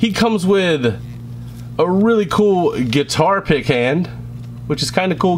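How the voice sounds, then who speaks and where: A man's voice with very wide pitch swings and noticeable background noise. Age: 20s. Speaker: toy reviewer. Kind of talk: product review. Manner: casual, hesitant with fillers.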